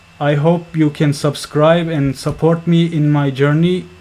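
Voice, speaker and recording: A non-native accent colors very slow speech. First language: not English. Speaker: software developer, tutorial maker. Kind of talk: tutorial. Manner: halting.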